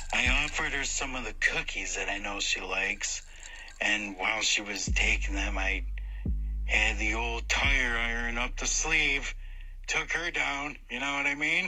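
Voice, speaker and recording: A put-on character voice moves at a moderate speed with clear background noise behind it. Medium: audio drama. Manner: hesitant, fawning.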